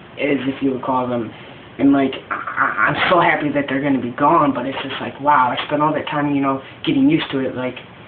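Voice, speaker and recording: A man with a fairly high pitch speaks in a monotone, flat way. Noticeable background noise is audible. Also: fairly quick pace. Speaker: vlogger documenting gender transition. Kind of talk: casual video diary. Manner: halting, many fillers.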